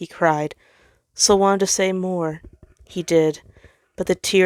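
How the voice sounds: With fairly even intonation, a natural reading voice comes through over a quiet background.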